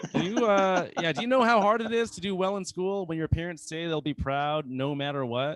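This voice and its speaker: This man talks at a fairly quick pace with an American accent. His pitch is high, and his intonation is lively. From US South, North Carolina. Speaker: comedian. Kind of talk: stand-up. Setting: open mic stage with audience. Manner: halting, many fillers.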